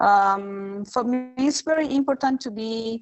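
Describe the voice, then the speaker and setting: With a Spanish accent, a woman speaks at a very slow pace, her pitch varying in an ordinary way. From Rapa Nui (Easter Island). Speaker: archaeologist. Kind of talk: online conference talk. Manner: halting, many fillers.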